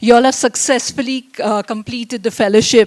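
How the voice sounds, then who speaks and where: This is a woman's voice, fairly high in pitch. Her pitch varies in an ordinary way. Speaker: invited speaker at a convocation. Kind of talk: speech. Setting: event hall with audience, speaking without mic. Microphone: no microphone, speaking unamplified.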